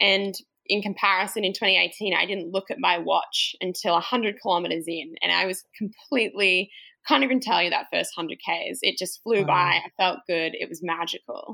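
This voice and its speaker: A woman speaks with an American accent. Her tone is bright and sharp. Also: medium pitch for a woman, ordinary pitch variation, moderate pace. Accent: Australian with slight American twang. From Australia. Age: 20s. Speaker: trail runner. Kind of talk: casual interview chat.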